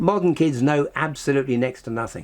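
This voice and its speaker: Speaking at a fairly quick pace, a man with an English accent has a fairly high pitch. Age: 80s+. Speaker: scientist and author. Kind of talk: interview. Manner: animated.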